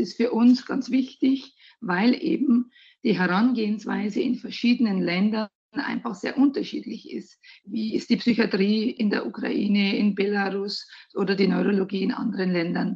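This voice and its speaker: A woman talks in a Bavarian accent at a fairly high pitch. Her voice is somewhat breathy, with ordinary pitch variation. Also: moderate pace. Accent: refined Bavarian. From Bavaria, Germany. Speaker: hospital recruiting manager. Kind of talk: interview.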